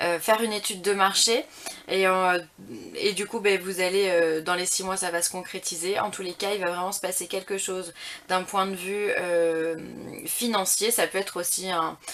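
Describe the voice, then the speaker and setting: A woman with a medium pitch talks in a monotone, flat intonation and keeps a moderate pace. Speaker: tarot reader. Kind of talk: tarot reading guidance. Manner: halting, many hesitations.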